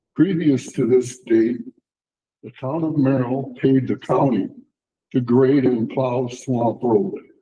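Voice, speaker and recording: Somewhat breathy, a man speaks at a very slow pace and a medium pitch, with ordinary pitch variation. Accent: American. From Wisconsin, US Midwest. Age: 80s+. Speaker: resident speaking at public comment. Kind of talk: prepared statement read aloud. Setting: town board meeting.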